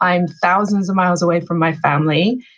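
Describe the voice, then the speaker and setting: The speaker has an English accent. Intonation stays fairly even. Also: woman. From England. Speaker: author and life coach. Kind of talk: podcast interview.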